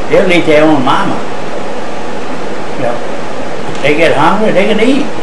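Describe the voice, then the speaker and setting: There is noticeable background noise behind a man's voice. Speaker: nuisance alligator hunter. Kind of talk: interview answer. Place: home room.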